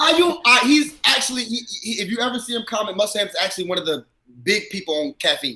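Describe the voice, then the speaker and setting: A man with an American accent talks at a very fast pace in a raised, projected voice, his energetic tone and lively intonation sitting at an extremely high pitch. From US South, South Carolina. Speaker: battle rapper. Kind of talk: casual chat. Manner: loud, energetic.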